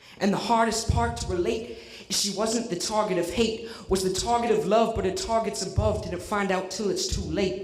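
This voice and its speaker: A man's voice over noticeable background noise. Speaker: slam poet. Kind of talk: poetry slam performance.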